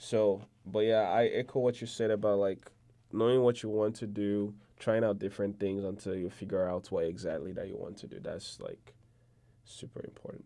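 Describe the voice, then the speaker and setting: A man with a Nigerian accent, fairly low in pitch, fairly even in intonation, at a moderate pace. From Nigeria, Igbo region. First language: Igbo. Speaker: podcast guest, student. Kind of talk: casual interview chat.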